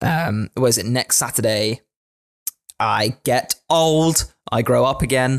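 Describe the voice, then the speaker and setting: A man with a southern English accent speaks at a very slow pace, his pitch medium with ordinary variation. His loudness stays very even, and the sound is dry and close with no echo. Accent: English, southern England. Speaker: podcast host. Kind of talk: casual chat podcast discussion about D&D.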